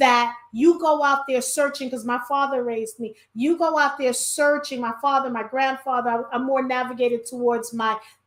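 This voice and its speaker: The speaker has a New York accent and moves at a fairly quick pace. The intonation stays fairly even. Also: woman. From New York (Brooklyn). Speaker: podcast host. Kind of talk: casual chat.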